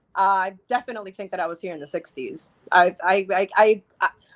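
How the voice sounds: Her pace is fast and her pitch medium, with ordinary pitch variation. This woman has a fairly bright tone.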